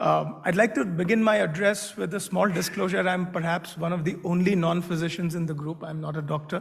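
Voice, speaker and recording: A man's high voice, monotone and flat, at a fairly quick pace with audible room echo. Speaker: medical device executive. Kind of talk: conference talk.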